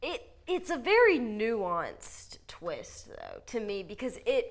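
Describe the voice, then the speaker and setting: Extremely high-pitched woman at a very slow pace, with very wide pitch swings and big swings in loudness. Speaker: film reviewer. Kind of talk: casual chat.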